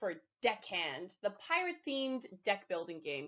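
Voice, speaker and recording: A woman speaks at a moderate pace with a Canadian accent. Her fairly high voice makes very wide pitch swings. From Canada. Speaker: board game reviewer. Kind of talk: casual review chat.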